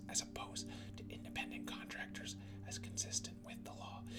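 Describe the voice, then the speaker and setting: Whispering in a soothing tone at a moderate pace over music in the background. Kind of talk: ASMR reading of political policy text. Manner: whispered; soft-spoken, soothing.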